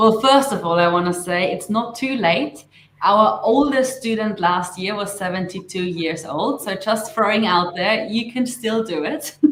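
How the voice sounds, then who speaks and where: Hardly pausing, a woman with a German accent speaks at a fairly slow pace with lively intonation. Her pitch is medium, and noticeable background noise runs underneath. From Austria. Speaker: language school director. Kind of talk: live webinar interview. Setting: live online stream.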